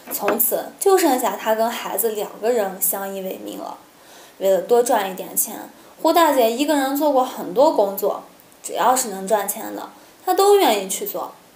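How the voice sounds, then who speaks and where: At a moderate pace, a woman talks with big swings in loudness amid audible room echo. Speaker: storytelling vlogger. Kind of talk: story narration to camera. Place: home room.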